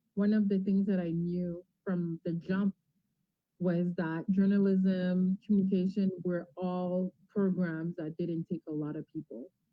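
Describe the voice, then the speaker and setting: With a French accent, the speaker talks at a fairly slow pace in monotone, flat intonation. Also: woman, medium pitch for a woman. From Ontario, Franco-Ontarian. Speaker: TV and radio host. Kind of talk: interview.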